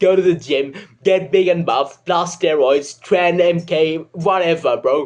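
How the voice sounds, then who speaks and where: This man has a British accent. His pitch is high. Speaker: comedic self-help video creator. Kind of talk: comedic advice monologue. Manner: casual, joking.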